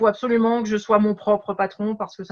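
At a moderate pace, a woman speaks with flat, monotone intonation. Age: 50s. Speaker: coach. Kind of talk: interview.

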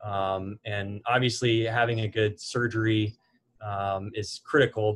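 The voice is somewhat breathy. Its intonation stays flat and monotone. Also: man. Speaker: guest. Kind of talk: interview answer. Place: office.

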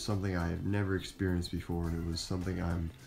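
Over faint background music, a man with a very deep, low pitch talks at a fairly quick pace. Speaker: cosplayer vlogger. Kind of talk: casual vlog chat. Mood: happy, reflective. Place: home room. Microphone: phone near.

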